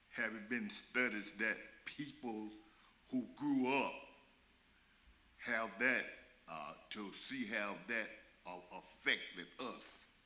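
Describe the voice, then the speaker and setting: Speaking at a very slow pace with long, frequent pauses, a man with an American accent uses a medium pitch, ordinary pitch variation and a bright, sharp tone, with audible room echo around him. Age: 70s. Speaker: community member asking a question. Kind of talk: public meeting question. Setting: church community meeting. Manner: halting.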